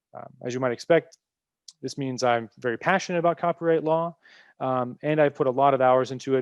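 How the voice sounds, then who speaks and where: Delivered at a fairly quick pace with ordinary pitch variation, the speech has a dry, close sound with no echo and a quiet background. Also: man. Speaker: copyright legal professional, webinar speaker. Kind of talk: lecture. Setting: webinar. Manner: fast; many fillers, hesitant.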